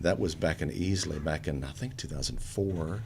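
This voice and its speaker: Audible room echo surrounds a man as he speaks. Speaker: theater director and actor. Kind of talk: casual interview. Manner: expressive.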